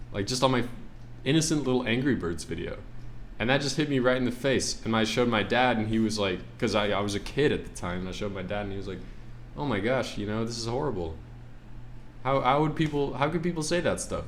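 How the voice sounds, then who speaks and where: Speaking at a very fast pace, a man uses lively intonation at a medium pitch. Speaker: artist. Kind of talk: casual talk to camera. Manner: stuttering, halting.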